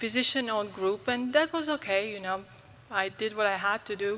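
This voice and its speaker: A woman with a Croatian accent at a fairly quick pace. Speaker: physician. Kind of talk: conference talk.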